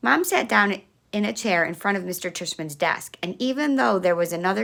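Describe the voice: A plain read-aloud delivery, lively in its intonation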